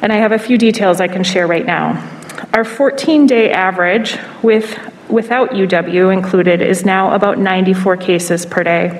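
Speech comes at a fairly slow pace, its pitch varying in an ordinary way. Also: woman. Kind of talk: press briefing statement. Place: hall. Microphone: podium.

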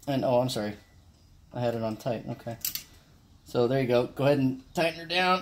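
Speaking at a fairly quick pace with ordinary pitch variation, a man leaves long, frequent pauses over light background noise. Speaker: amateur car mechanic. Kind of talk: casual DIY how-to talk to camera. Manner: casual, hesitant, many filler words. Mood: relaxed, friendly. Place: garage. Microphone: phone near.

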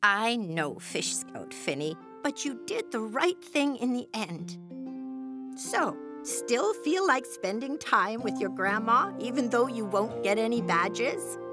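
A female-sounding cartoonish character voice speaks at a fairly slow pace. Clear music plays in the background. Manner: gentle, polite, weary.

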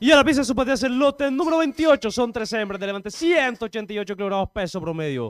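A man with an extremely high pitch talks at a fairly quick pace with lively intonation and hardly any pauses. The sound is dry and close with no echo. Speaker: auction announcer. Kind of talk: formal lot reading.

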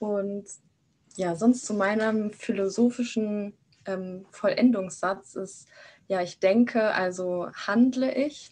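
This woman has a medium pitch and a slightly mellow tone. She speaks at a slow pace with ordinary pitch variation.

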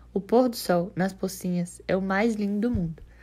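A woman's medium-pitched voice comes out somewhat breathy. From Brazil, Salvador (Bahia). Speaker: journalism student. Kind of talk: scripted narration.

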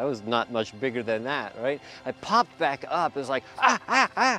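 A man at a moderate pace, dry sound with no echo, faint music in the background. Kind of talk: interview answer. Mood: warm, enthusiastic. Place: waterside. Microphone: lapel.

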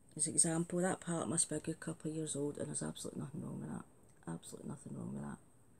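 A woman with a Glasgow accent at a very fast pace, with noticeable background noise. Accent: Scottish (Glasgow). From Scotland, Glasgow area. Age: 50s. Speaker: beauty vlogger. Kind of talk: casual vlog chat. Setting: home video recording. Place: home room. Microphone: phone near.

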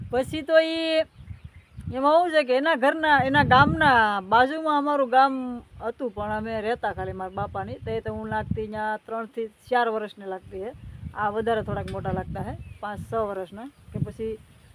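A woman speaks in an ordinary speaking voice with a fairly high pitch. Her loudness swings widely. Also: lively intonation. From Saurashtra, Gujarat (near Kodinar). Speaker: vlogger. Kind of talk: casual vlog talk to viewers.

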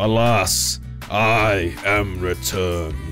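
Clear music plays in the background as a man performs a put-on character voice. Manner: proud, booming.

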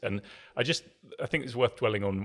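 This man has a plain, everyday voice, fairly low in pitch, and speaks at a fairly quick pace. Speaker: podcast guest. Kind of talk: interview answer. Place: studio. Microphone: studio mic.

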